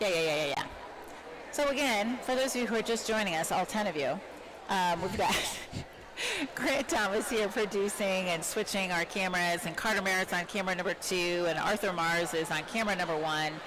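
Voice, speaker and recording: There is noticeable background noise as a woman speaks at a fairly quick pace and medium pitch. Her loudness is very even, and her pitch variation is ordinary. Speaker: teacher and volleyball commentator. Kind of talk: live sports commentary. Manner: projecting teacher voice.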